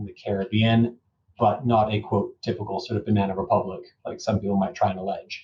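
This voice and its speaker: Here is a man with a Canadian accent. His fairly low voice sounds somewhat breathy. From Canada. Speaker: lawyer. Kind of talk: interview.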